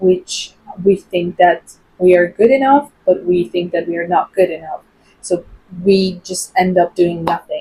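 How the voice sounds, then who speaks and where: A woman with a non-native accent speaks at a fairly slow pace, with big swings in loudness. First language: not English (English is fourth language). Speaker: English teacher and content creator. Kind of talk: casual vlog talk to camera. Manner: hesitant, with fillers.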